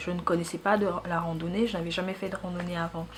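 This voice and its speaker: A woman speaks with a Central African accent over noticeable background noise. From Gabon. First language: Fang (speaking French). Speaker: YouTuber. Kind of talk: casual personal vlog. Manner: conversational, with hesitations.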